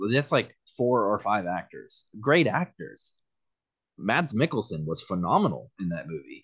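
Against a quiet background, a man with a fairly low pitch speaks at a fairly slow pace, his pitch swinging very widely. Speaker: podcast host. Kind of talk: casual banter between friends. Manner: animated, enthusiastic.

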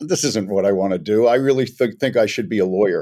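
A man with an American accent, a medium pitch and a dark, mellow tone at a fairly quick pace, in a very clean recording with a silent background. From Los Angeles, US. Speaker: media company CEO. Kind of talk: interview conversation.

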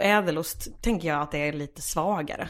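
At a fairly quick pace, a woman talks in an unremarkable speaking voice with ordinary pitch variation. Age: 20s. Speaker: stand-up comedian. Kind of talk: casual chat.

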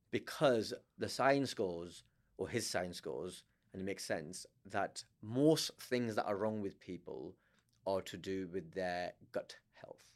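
With a Lancashire accent, a man speaks at a fairly slow pace with long, frequent pauses. His pitch is fairly low and varies in an ordinary way. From northern England, Blackburn, Lancashire. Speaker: stand-up comedian. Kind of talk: casual chat. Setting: studio.

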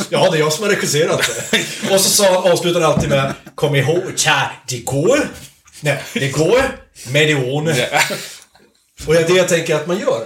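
A man with a high voice talks at a moderate pace, with audible room echo and noticeable background noise. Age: 30s. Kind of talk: casual chat. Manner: halting.

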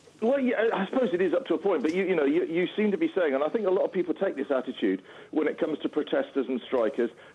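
Speaking at a very fast pace with a British accent, a man with a high pitch makes very wide pitch swings while keeping his loudness very even. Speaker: rail campaigner. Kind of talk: interview. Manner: halting.

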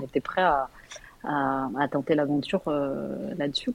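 The woman speaks with ordinary pitch variation. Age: 40s. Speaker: caller to a relationship advice show. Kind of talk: casual chat. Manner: halting.

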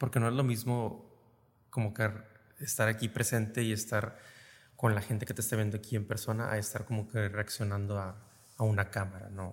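Against a silent background on a very clean recording, a man speaks in a fairly low, somewhat breathy voice with monotone, flat intonation and long, frequent pauses. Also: fairly quick pace. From Reynosa, Tamaulipas, northern Mexico. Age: 30s. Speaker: theatre co-founder, industrial engineer. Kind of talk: casual interview.

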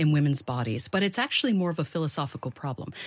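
Against a quiet background, a woman speaks with an American accent. Her pitch is very deep and low, her intonation lively. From United States. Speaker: researcher and author. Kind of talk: interview.

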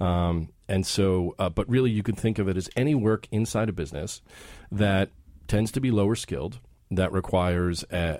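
A plain, everyday voice with an American accent, at a moderate pace. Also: man. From US, Philadelphia. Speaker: CEO of a staffing company. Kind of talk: radio interview. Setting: studio.

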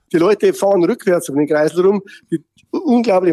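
A high-pitched male voice, fairly quick, its pitch varying in an ordinary way. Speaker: mayor. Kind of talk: casual chat.

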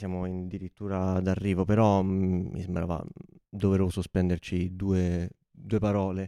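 The sound is dry and close with no echo, on a very clean recording with a silent background. The tone is dark and mellow. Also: man. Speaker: podcast host. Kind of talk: casual chat. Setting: studio.

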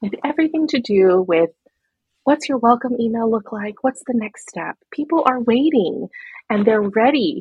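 A woman's fairly high, lively voice at a moderate pace, an ordinary speaking voice. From New York City. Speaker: systems architect and business coach. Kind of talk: interview conversation.

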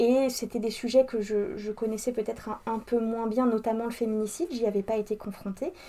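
Speaking at a fairly quick pace with hardly any pauses, a woman uses a fairly high pitch and ordinary pitch variation. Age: 30s. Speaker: entrepreneur and equality consultant. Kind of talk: interview. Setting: coworking space. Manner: hesitant with filler words.

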